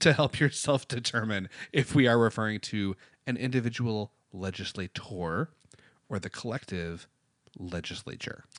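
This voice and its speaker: With an American accent, a man speaks at a fairly slow pace with long, frequent pauses, in a dry, close sound with no echo against a quiet background. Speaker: podcast co-host. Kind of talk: casual chat.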